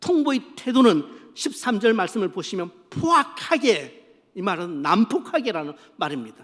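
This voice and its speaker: Here a man talks in a high voice at a fairly slow pace. His pitch swings very widely. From Gyeongsang region, South Korea. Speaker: senior pastor. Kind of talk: sermon.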